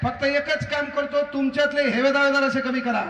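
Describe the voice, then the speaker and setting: Amid noticeable background noise, a man speaks in a raised, projected voice with an energetic tone and an extremely high pitch. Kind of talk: public speech at a rally. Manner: humorous, energetic.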